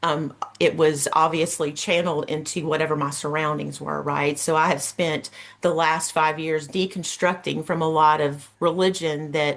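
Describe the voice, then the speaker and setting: A speaker with a Southern US accent talks in a monotone, flat intonation. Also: woman, very deep, low pitch for a woman, moderate pace. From US South, Georgia. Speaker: Reiki practitioner. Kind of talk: workshop presentation.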